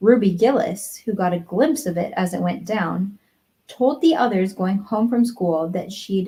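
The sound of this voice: The background stays quiet. An unforced reading voice carries ordinary pitch variation.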